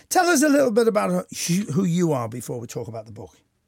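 A man's fairly high voice with vocal fry and very wide pitch swings, at a fairly quick pace, in a very clean recording with a silent background. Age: 70s. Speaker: radio host. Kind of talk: interview.

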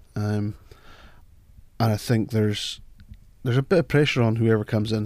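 A man with a Scottish Highlands accent speaks at a medium pitch in a dark, mellow tone, his intonation fairly even, on a very clean recording with a silent background. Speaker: football fan pundit. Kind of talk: casual chat. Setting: studio.

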